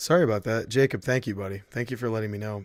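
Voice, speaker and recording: A man speaks at a very fast pace and a medium pitch with ordinary pitch variation. The recording is very clean with a silent background. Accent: American. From Michigan, near Detroit (US Midwest). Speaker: video game streamer. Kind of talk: casual live-stream gameplay commentary. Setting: live stream. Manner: animated.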